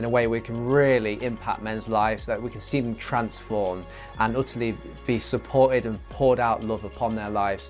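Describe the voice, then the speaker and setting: A man speaks fairly quickly. Behind him there is music. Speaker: podcast host. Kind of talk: podcast intro.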